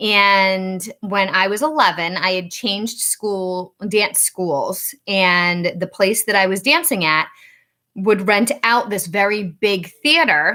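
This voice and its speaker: Speaking very slowly in a Rhode Island accent, a woman uses a medium pitch and a bright, sharp tone with ordinary pitch variation, on a very clean recording with a silent background. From Rhode Island, US. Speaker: psychic medium. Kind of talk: casual storytelling livestream. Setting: outdoors in backyard.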